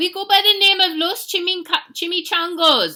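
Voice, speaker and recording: In a put-on character voice, a woman growls at an extremely high pitch, keeping a moderate pace and fairly even intonation. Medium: read story.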